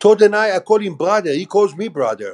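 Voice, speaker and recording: A man with an Israeli accent speaks at a high pitch for a man, with ordinary pitch variation. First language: Hebrew. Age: 60s. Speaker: former army officer. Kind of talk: interview.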